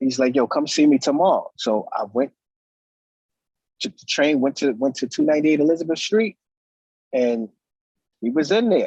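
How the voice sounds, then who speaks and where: A man with a New York accent speaks at a moderate pace and fairly high pitch, with lively intonation, big swings in loudness and long, frequent pauses, in a dry, close sound with no echo. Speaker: DJ and music producer. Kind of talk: interview. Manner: casual, halting with fillers.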